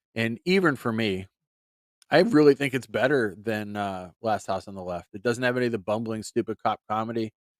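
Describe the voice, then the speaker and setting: Recorded very cleanly against a silent background, the speaker talks at a moderate pace with a slight Pittsburgh accent. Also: man. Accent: slight Pittsburgh accent that sneaks out. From western Pennsylvania, near Youngstown. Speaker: movie podcast host. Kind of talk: solo podcast monologue.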